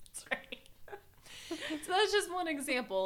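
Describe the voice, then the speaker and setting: The speaker is a woman with an American accent. She has a bright, sharp tone. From US South. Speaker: podcast host. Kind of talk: casual comedic chat over wine.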